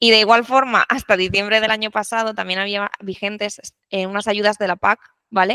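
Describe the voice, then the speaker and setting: A woman's fairly quick, flat monotone at medium pitch, bright and sharp in tone, with a La Mancha accent and a dry, close sound with no echo. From La Mancha, Spain. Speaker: renewable energy technical support specialist. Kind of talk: podcast interview.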